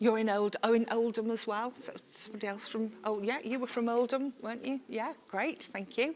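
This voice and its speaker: Someone with a Liverpool accent speaks at a moderate pace with fairly even intonation and hardly any pauses, over noticeable background noise. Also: woman, fairly high pitch for a woman. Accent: Scouse. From Liverpool, England. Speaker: workshop facilitator. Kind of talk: workshop facilitation. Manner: informal, chatty.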